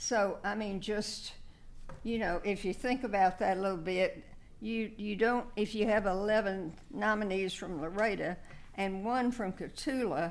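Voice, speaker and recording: Audible room echo surrounds a woman at medium pitch. She talks at a fairly slow pace with ordinary pitch variation. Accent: South Texas. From South Texas. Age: 80s+. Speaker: local award nominee. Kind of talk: speech at council meeting. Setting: council meeting room. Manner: halting.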